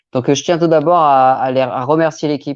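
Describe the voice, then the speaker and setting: This man talks with ordinary pitch variation. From Normandy, France. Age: 40s. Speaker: crime novelist. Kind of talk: live stream self-presentation. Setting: online live stream. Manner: hesitant, many filler sounds.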